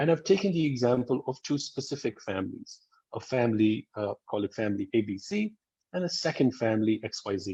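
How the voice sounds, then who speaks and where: A man with a medium pitch talks at a fairly quick pace, his pitch swinging very widely. His tone is dark and mellow and somewhat breathy. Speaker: school dean. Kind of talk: webinar presentation.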